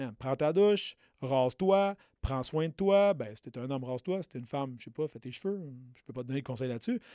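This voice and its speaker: A man with a Quebec accent, fairly high-pitched for a man, dark and mellow in tone, lively in intonation, fairly quick, with big swings in loudness. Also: dry, close sound with no echo, very clean recording, silent background. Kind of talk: motivational pep talk. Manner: direct, punchy, urgent, hammering points with repeated 'OK?' and 'right?'.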